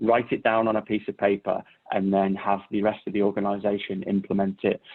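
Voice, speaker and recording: In a British accent, a man talks with a fairly low pitch. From Britain. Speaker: cybersecurity consultant. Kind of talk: Q&A session answers. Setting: virtual workshop video call. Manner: halting, many repetitions and fillers.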